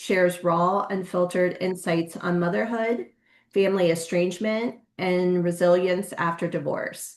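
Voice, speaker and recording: Her voice plain, everyday and medium in pitch, a woman speaks at a fairly slow pace with ordinary pitch variation. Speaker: podcast host. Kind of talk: podcast interview conversation.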